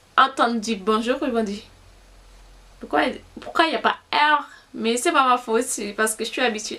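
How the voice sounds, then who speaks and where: A high-pitched woman's voice with a Haitian accent. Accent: Haitian Creole accent in French. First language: Haitian Creole (speaking French). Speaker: beauty vlogger. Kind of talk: casual vlog talk. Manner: halting, many fillers.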